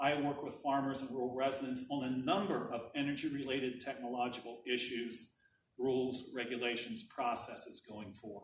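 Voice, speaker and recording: Delivered at a moderate pace with fairly even intonation, this is an unremarkable speaking voice. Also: man, medium pitch for a man. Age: 60s. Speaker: energy policy director. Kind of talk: presentation.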